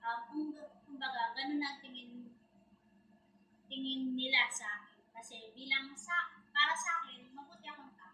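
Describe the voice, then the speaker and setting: A woman projects her voice in a high, bright, sharp tone at a moderate pace, with fairly even intonation, big swings in loudness and long, frequent pauses. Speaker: interviewee. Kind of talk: interview answers.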